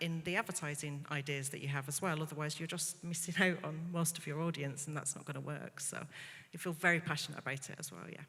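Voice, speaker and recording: A woman speaks at a very fast pace in a very deep, low pitch. Her tone is bright and sharp, and her intonation fairly even. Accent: slight northern English. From northern England, Bolton. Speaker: media executive on quiz panel. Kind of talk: panel discussion.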